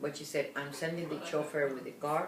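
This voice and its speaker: Amid noticeable background noise and audible room echo, a woman talks at a fairly quick pace with a very deep, low pitch. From Cuba. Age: 80s+. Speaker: interviewee sharing life story. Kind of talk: oral history interview.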